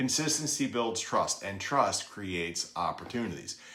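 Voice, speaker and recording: Noticeable background noise sits behind a man speaking at a medium pitch. He talks at a moderate pace with lively intonation. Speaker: real estate agent and BPO trainer. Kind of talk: training lesson. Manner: occasional stumbles and self-corrections.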